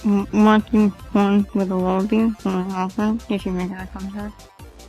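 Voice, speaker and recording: A mumbled, put-on character voice, female-sounding at a medium pitch, at a moderate pace with music in the background. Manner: mumbling.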